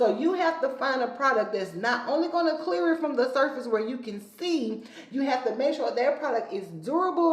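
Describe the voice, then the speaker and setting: A woman speaks in a high voice with lively intonation. Room echo is audible, and there is noticeable background noise. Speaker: skincare educator. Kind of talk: tutorial. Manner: fast.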